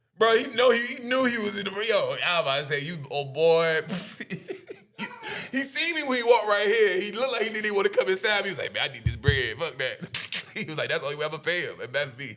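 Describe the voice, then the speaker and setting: With music in the background, a man speaks in a raised, projected voice at a very fast pace, his tone animated and his high pitch swinging very widely. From Hampton, Virginia, US. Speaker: rapper. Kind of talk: casual chat. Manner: halting, stuttering.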